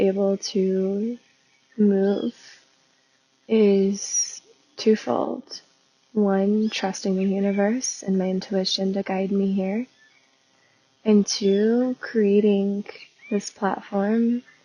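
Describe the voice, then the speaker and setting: Soft-spoken and with an American accent, this voice moves at a very slow pace in a flat monotone, broken by long, frequent pauses. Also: woman, medium pitch for a woman. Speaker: spiritual business coach and podcast host. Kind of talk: casual podcast monologue. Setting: outdoors in nature.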